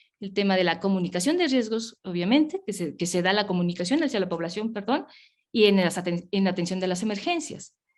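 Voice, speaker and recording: Her delivery is very fast, with lively intonation. The woman's pitch sits in the medium range. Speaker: public health official. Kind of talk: webinar presentation.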